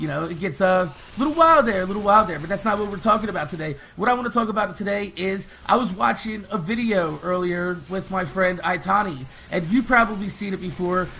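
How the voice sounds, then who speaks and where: Over noticeable background noise, a man with a high pitch uses a raised, projected voice, animated in tone, at a fairly quick pace with ordinary pitch variation. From United States. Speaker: gaming youtuber. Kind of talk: casual rant to camera. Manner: fast.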